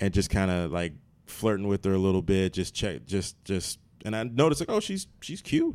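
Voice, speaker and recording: The pace is moderate, with an American accent. Pitch variation is ordinary. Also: man, fairly low pitch for a man, very clean recording, silent background. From Maryland. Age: 30s. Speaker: comedian and actor. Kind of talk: casual chat. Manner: halting, many repetitions.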